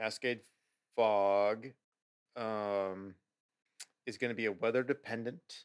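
This man has a fairly low pitch and an American accent. His pitch varies in an ordinary way. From US Pacific Northwest. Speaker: beer podcast co-host. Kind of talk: casual chat.

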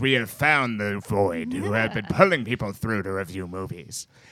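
This is a male speaker. He talks with a fairly low pitch. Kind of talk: comic overacting. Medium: talk show. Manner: gloating, theatrical.

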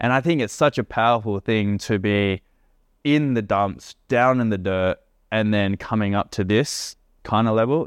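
A man with a normal speaking voice talks at a fairly low pitch and a moderate pace, with ordinary pitch variation and very even loudness. The sound is dry and close with no echo, over a quiet background. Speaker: podcast host. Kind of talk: casual chat while drinking tequila. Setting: living in Indonesia. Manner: casual, slangy, upbeat.

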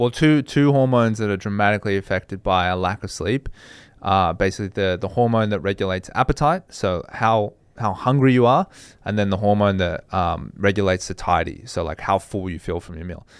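A man speaks at a fairly quick pace with an Australian accent. His pitch is fairly low, with ordinary variation. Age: 30s. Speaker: fitness podcast host. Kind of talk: casual chat.

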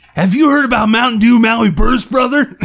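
At a fairly quick pace, a man does a put-on character voice at an extremely high pitch. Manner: enthusiastic, upbeat.

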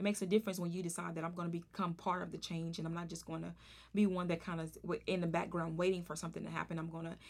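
In a Southern US accent, a woman talks at a very fast pace with a fairly low pitch and vocal fry. Her intonation stays monotone and flat. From Arkansas. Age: 30s. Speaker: podcast host. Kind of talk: casual interview.

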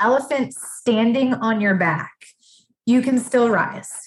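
A woman with an American accent and an ordinary speaking voice, fairly high in pitch, at a moderate pace with fairly even intonation. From Massachusetts. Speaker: life coach. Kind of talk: casual chat.

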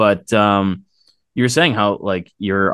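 A man speaks with an American accent in a monotone, flat intonation. The background is quiet. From Boston area. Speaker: podcast host. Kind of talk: casual interview chat.

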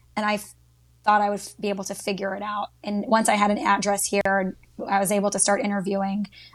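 A woman's medium-pitched, flat, monotone voice with an American accent, at a fairly quick pace. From Texas, Dallas. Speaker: social media marketer. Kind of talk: casual chat.

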